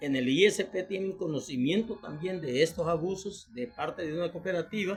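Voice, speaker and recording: Over noticeable background noise, a man with a high pitch talks with ordinary pitch variation and hardly any pauses. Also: moderate pace. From El Salvador. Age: 60s. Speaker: retiree and citizen commentator. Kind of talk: video monologue appeal to the president. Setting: self-recorded video for Facebook.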